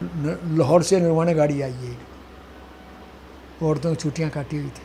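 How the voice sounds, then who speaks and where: A man talks at a fairly high pitch. Audible room echo can be heard on the recording. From India, Haryana (Kaithal district). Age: 80s+. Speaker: partition eyewitness, retired government employee. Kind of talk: oral history interview.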